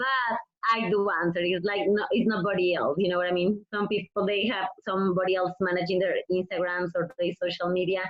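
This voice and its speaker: A woman at medium pitch with a Mexican accent, a fairly quick pace, fairly even intonation and very even loudness. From Mexico. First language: Spanish. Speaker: professional wrestler. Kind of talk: interview.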